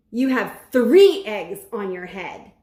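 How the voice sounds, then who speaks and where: A woman growls in a put-on character voice pitched fairly high. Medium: read story. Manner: calm, cheerful.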